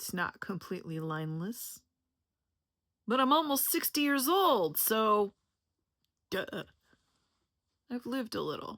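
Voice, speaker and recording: Speaking at a fairly slow pace with long, frequent pauses, a woman uses a fairly high, bright, sharp voice. Her pitch swings very widely, and the recording is very clean with a silent background. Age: 50s. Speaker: health educator and content creator. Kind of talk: personal introduction video monologue. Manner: casual, conversational.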